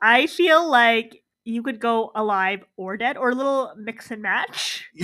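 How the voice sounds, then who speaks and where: A woman projects a raised voice with a high pitch and ordinary pitch variation. Her tone is bright, sharp and animated. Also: very clean recording, silent background. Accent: Canadian. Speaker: podcast host. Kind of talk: casual banter, comedic chat. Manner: animated, joking.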